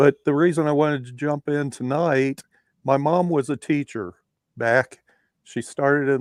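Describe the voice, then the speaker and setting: A man talks at a fairly slow pace with fairly even intonation in a plain, everyday voice. The sound is dry and close with no echo. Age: 60s. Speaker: caller joining a live panel discussion. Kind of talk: casual discussion.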